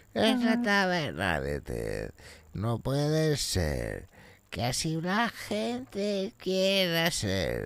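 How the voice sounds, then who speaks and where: A man speaks at a very slow pace. His pitch is fairly high. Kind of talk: comic overacting. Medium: game stream. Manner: erratic, bombastic, rambling, sudden outbursts.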